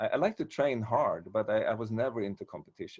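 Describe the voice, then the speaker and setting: In a Swedish accent, a man speaks at a medium pitch and a fairly quick pace. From Sweden. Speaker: martial arts teacher. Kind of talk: casual chat. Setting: video call. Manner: halting.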